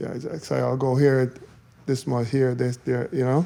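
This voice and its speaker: A man talks at a moderate pace. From Quebec, Canada (Montreal). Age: 60s. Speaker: former professional bodybuilder, event promoter. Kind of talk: casual podcast chat. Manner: relaxed, casual with slang.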